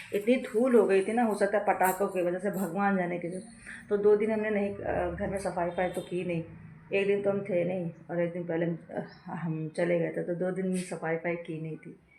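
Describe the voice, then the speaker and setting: Her intonation fairly even and her pitch medium, a woman speaks at a moderate pace. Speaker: family vlogger, homemaker. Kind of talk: casual vlog talk. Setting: at home.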